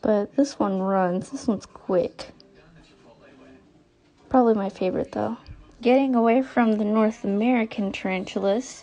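With music playing in the background, a squeaky voice speaks at a moderate pace with ordinary pitch variation. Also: woman. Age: 20s. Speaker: tarantula keeper. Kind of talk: casual talk to camera. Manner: hesitant, occasional stutter. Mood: nervous, a bit scared. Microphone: phone near.

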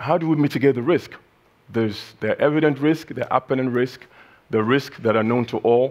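Speaking with ordinary pitch variation, a man keeps to a moderate pace. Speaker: keynote speaker. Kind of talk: keynote speech. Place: hall. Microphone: headset.

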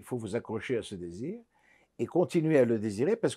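A man talks at a fairly quick pace, his dark, mellow tone carrying lively intonation over a quiet background. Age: old. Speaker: psychiatrist and psychologist; interviewee. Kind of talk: interview. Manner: halting. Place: home room.

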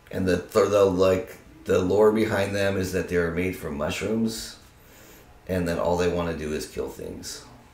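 A man speaks with an American accent at a very deep, low pitch. Room echo is audible. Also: moderate pace. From Arizona and California (Tucson and Monterey); Arizona; California. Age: 30s. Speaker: university student; interviewee. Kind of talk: casual interview; interview answer. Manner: animated. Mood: relaxed, amused explaining. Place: home room.

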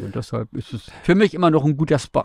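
A man speaks in a dark, mellow tone with lively intonation. The sound is dry with no echo, against a quiet background. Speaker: radio host. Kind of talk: casual interview. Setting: mobile podcast studio. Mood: lively, warm storytelling. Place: studio. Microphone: studio mic.

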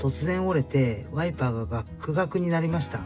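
A man's fairly high voice at a moderate pace, with very wide pitch swings and music in the background. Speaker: trike owner, parent. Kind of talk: DIY repair video narration. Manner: polite.

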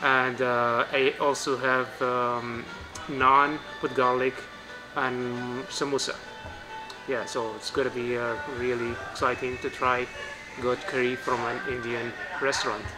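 Against clear background music, a man talks at a fairly slow pace with long, frequent pauses. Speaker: food vlogger. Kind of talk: casual vlog chat. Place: cafe. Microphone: phone near.

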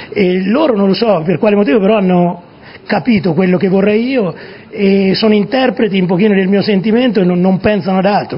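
Noticeable background noise runs under a man talking fairly quickly. His voice is high, with ordinary pitch variation. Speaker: football coach. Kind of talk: TV interview answer. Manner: voice changes suddenly while speaking.

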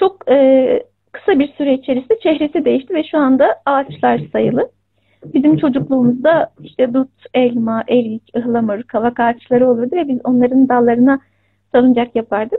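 Against a quiet background, a high-pitched woman talks at a moderate pace with very even loudness. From Turkey. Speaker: writer and teacher. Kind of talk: interview. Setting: video call. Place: home room. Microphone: video call.

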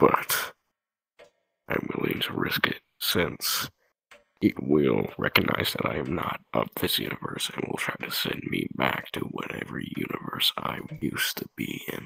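A man uses a put-on character voice with a very deep, low pitch. He speaks at a moderate pace. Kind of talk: in-character roleplay dialogue. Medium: machinima. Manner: impatient, rambling. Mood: reckless resolve.

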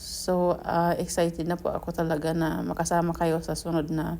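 A woman talks at a fairly slow pace. Audible echo fills the room. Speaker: gardening vlogger. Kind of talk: vlog narration. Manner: halting.

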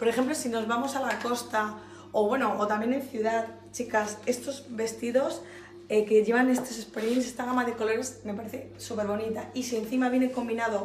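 A woman with a fairly high pitch amid noticeable background noise and audible room echo. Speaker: fashion boutique presenter. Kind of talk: product showcase. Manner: animated.

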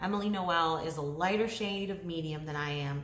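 The pitch varies in an ordinary way. There is light background noise and audible room echo. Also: woman. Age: 30s. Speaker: beauty YouTuber. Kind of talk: casual vlog talk to camera. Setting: home living room, talking to camera. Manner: chatty, rambling with fillers. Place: home room. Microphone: phone near.

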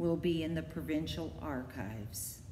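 A woman's sing-song, lively voice at a fairly slow pace, with audible room echo and light background noise. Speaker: library poetry reader. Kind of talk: poem reading. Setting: online video. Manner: measured, steady, sing-song rhythm. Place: hall. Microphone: phone near.

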